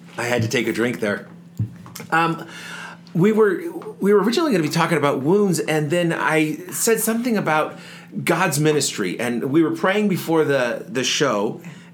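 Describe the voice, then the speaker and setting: A high-pitched man's voice with lively intonation amid noticeable background noise. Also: moderate pace. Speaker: podcast co-host. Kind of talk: casual chat. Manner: put-on radio voice in the show opening.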